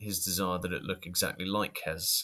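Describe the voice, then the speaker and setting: Very deep and low in pitch yet bright and sharp in tone, a man speaks with a British accent in a very clean recording with a silent background. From Britain. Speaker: podcast co-host.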